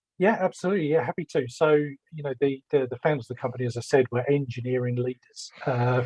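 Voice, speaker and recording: A man with a London accent speaks at medium pitch, somewhat breathy. His pace is fairly quick and his intonation fairly even. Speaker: business development executive. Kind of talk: panel discussion.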